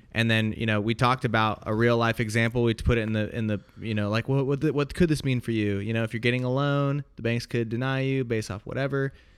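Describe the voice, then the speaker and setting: At a fairly quick pace, a man with an American accent and an unremarkable speaking voice talks at medium pitch with fairly even intonation on a very clean recording with a silent background. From United States. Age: 30s. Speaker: podcast co-host. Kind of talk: casual political commentary podcast.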